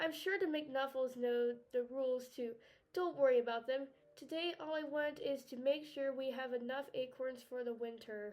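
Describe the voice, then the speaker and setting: A woman performs a put-on character voice. Her pitch is high. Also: moderate pace. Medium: read story.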